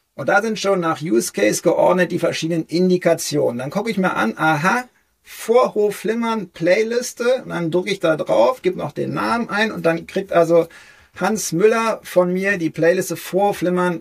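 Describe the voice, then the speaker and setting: Here a man speaks in a high pitch. His intonation is lively. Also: moderate pace. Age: 40s. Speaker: cardiologist and health video creator. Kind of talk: interview.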